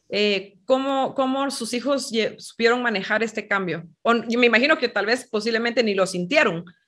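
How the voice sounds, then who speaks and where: A woman's normal speaking voice, fairly high in pitch, at a moderate pace with ordinary pitch variation and hardly any pauses. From Guatemala. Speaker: podcast host. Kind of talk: interview. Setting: video call.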